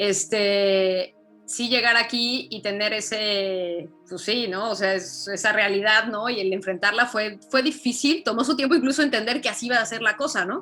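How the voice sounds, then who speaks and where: A woman with a Mexican accent speaks at a moderate pace in a fairly high voice with ordinary pitch variation. Music plays in the background. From Mexico. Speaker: journalist. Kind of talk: interview.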